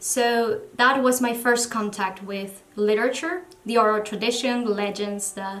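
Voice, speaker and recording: Speaking at a fairly slow pace with fairly even intonation, a woman with a Spanish accent uses a fairly high pitch, with audible room echo and noticeable background noise in the recording. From Venezuela. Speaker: book vlogger. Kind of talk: casual vlog talk to camera. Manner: halting.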